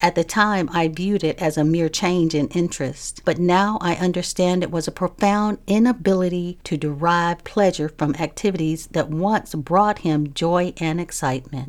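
A normal speaking voice moves at a moderate pace with hardly any pauses and ordinary pitch variation. The recording is very clean, with a silent background. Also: woman, fairly low pitch for a woman. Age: 60s. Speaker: podcast host. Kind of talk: solo monologue on mental health.

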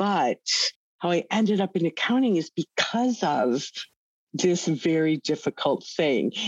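A woman with a normal speaking voice, fairly low in pitch and lively in intonation, at a fairly slow pace with very even loudness, in a dry, close sound with no echo over a quiet background. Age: 60s. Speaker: accounting executive in crypto data firm. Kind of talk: interview.

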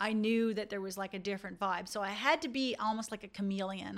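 A woman talks at a fairly quick pace. The recording is very clean, with a silent background. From Newfoundland, rural. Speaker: dentist and podcast host. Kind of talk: casual monologue to dentists.

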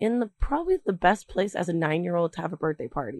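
Recorded with a dry, close sound and no echo, a woman with an ordinary speaking voice talks at a fairly quick pace in a fairly low pitch. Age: 20s. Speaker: student radio reporter. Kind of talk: feature narration.

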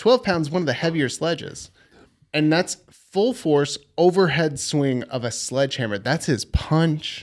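An unremarkable speaking voice from a man with an American accent, fairly high in pitch, with lively intonation and a fairly slow pace, on a very clean recording with a silent background. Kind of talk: casual banter. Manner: casual, joking.

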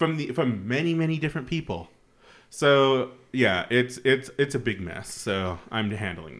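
On a very clean recording with a silent background, a man with an American accent speaks at a fairly slow pace and medium pitch, with vocal fry and big swings in loudness. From Utah. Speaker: podcast host. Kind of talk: casual chat.

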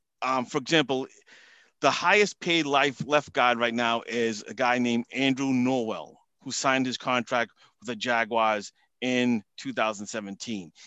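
Against a quiet background, a man with a Boston accent and a medium pitch speaks at a fairly slow pace in a bright, sharp tone, with a dry, close sound and no echo. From Massachusetts, US. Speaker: football salary cap analyst guest. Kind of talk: casual interview chat.

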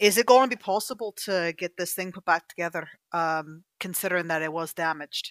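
A woman's plain, everyday voice at a fairly low pitch and fairly quick pace, with ordinary pitch variation, big swings in loudness, and a dry, close sound with no echo, in a very clean recording with a silent background. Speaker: voice actress and player. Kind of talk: tabletop roleplaying game session.

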